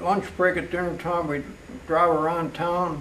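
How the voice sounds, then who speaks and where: With an American accent, a man talks at a fairly slow pace and a high pitch. Noticeable background noise and audible room echo fill the recording. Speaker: local elder interviewee. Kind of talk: oral history interview.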